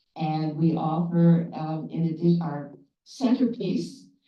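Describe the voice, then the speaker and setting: A woman speaks in a fairly low voice. Audible room echo surrounds her. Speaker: study group coordinator, former teacher. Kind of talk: short presentation at a meeting. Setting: annual meeting with audience. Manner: loud.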